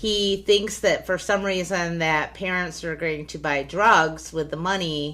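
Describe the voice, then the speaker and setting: Very slow and fairly even in intonation, a woman speaks at a fairly low pitch in a bright, sharp tone. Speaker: podcast co-host. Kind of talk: casual chat. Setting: home podcast recording, separate mics. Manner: loud when emphasizing, sometimes too quiet.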